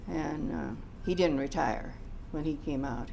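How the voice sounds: A woman speaks at a low pitch with vocal fry. Her pace is fairly slow, with ordinary pitch variation.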